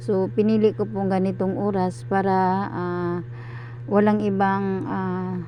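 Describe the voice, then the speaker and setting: Amid audible room echo, a woman speaks at a fairly slow pace. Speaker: cooking vlogger. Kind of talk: voiceover narration of cooking video. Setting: recorded at night when household asleep. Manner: halting, stuttering delivery; many filler sounds.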